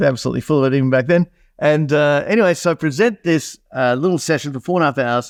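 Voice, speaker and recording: At a very fast pace, a man with an Australian accent speaks at a fairly high pitch with ordinary pitch variation. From Australia, country New South Wales. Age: 50s. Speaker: entrepreneur. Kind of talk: podcast interview.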